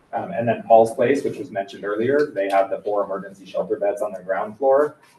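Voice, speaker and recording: A man rushes along at a very fast pace while noticeable background noise carries on. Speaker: county housing presenter. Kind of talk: slide presentation at public meeting. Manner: many filler ums.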